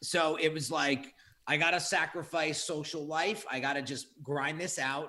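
With an ordinary speaking voice, a man of fairly high pitch talks at a moderate pace with fairly even intonation. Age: 30s. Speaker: graphic designer and entrepreneur. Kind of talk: casual interview chat.

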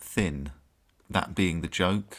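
In an English accent, a man with a very deep, low pitch speaks with fairly even intonation. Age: 30s. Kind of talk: casual chat. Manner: halting.

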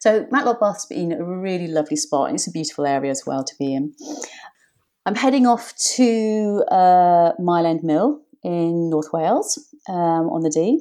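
In an English accent, a woman with a dark, mellow tone and fairly low pitch speaks at a moderate pace with very wide pitch swings over a quiet background. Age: 50s. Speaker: whitewater paddleboard coach. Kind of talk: interview.

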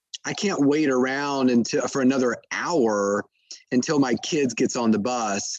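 An unremarkable speaking voice from a man, fairly slow in pace, medium in pitch, with ordinary pitch variation. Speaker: sleep doctor and author. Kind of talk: interview answering questions. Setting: podcast interview.

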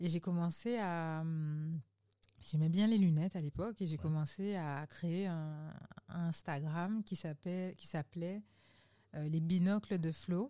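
A woman with a dark, mellow tone and fairly low pitch, at a very slow pace with long, frequent pauses and fairly even intonation. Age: 30s. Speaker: digital transition consultant. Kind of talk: casual interview.

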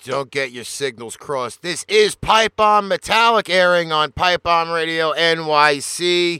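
A man with a high pitch and a bright, sharp tone talks at a very slow pace with ordinary pitch variation, recorded very clean against a silent background with a dry, close sound and no echo. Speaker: radio host. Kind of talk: radio DJ patter, live show intro and back-announcing tracks. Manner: energetic, punchy broadcaster delivery.

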